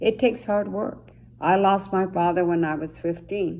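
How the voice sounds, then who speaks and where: In a Spanish accent, a woman with a dark, mellow tone speaks fairly slowly, her pitch varying in an ordinary way. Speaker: judge. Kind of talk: motivational talk to students.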